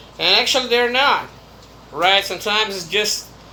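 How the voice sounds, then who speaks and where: A man speaks at a fairly slow pace. Noticeable background noise sits behind him. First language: Brazilian Portuguese. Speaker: YouTuber. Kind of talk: casual monologue vlog.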